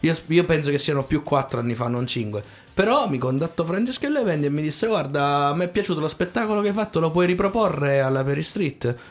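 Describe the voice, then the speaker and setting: Talking at a fairly quick pace, a man with an unremarkable speaking voice uses lively intonation at a fairly high pitch. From Abruzzo, Italy (Tortoreto/Corropoli area). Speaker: singer and showman. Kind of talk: radio interview. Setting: radio studio.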